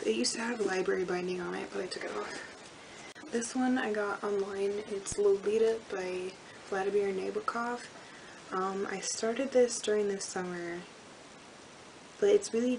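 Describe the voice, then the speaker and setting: Amid noticeable background noise, a woman talks at a medium pitch and moderate pace, with fairly even intonation and long, frequent pauses. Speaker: book vlogger. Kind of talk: casual talk to camera. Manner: monotone.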